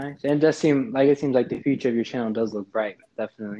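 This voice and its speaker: A man speaks at a medium pitch with lively intonation. He has an ordinary speaking voice. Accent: American. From North Carolina, US. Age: 20s. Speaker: podcast co-host. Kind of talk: casual interview chat.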